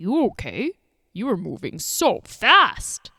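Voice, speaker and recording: A woman speaks in a high-pitched, put-on character voice at a fairly slow pace. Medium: read story. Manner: warm, kindly, patient.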